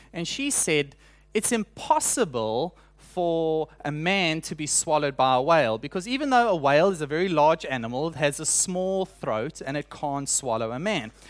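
Fairly high-pitched male voice with lively intonation at a moderate pace, over a quiet background. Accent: South African. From South Africa. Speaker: preacher. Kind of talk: sermon.

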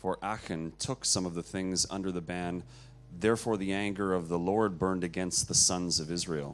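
Over music in the background, a man talks at a moderate pace with a very deep, low pitch and fairly even intonation. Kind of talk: reading aloud.

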